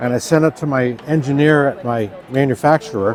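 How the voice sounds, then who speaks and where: With an American accent, a man talks at a moderate pace and medium pitch against noticeable background noise. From New Hampshire, US. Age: 60s. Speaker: product maker, company owner. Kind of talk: product demonstration. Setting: trade show booth.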